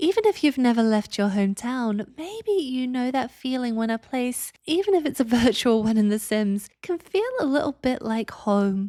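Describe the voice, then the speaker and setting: This woman's voice sits high, with a dark, mellow, calm tone and lively intonation. She keeps a moderate pace with hardly any pauses. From England. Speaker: Sims builder YouTuber. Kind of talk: voiceover tutorial.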